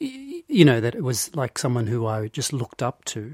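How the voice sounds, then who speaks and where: A somewhat breathy voice, dry and close with no echo, on a very clean recording with a silent background. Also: man. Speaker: podcast co-host. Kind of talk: casual chat.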